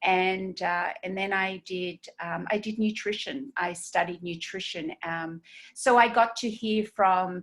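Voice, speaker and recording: A woman with an Australian accent talks at a fairly slow pace in a medium pitch with ordinary pitch variation. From Australia, Sydney. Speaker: esthetician and skincare trainer. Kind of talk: webinar training. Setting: video webinar. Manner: halting, many fillers.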